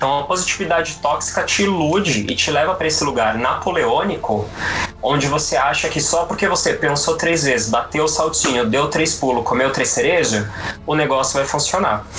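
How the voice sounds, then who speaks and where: Over noticeable background noise and audible room echo, a man talks at a moderate pace in a fairly high voice with very even loudness. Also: ordinary pitch variation. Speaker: tarot reader and psychologist. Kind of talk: casual chat.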